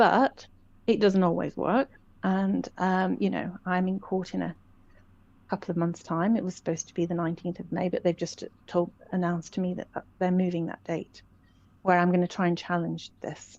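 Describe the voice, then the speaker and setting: This woman speaks at a moderate pace in a fairly low pitch, keeping her intonation fairly even. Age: 60s. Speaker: common law educator. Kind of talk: interview. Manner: halting.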